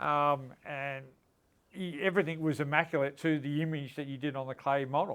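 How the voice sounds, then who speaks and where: An unremarkable speaking voice from a man, fairly high in pitch, with fairly even intonation and a moderate pace, on a very clean recording with a silent background. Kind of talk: interview questions.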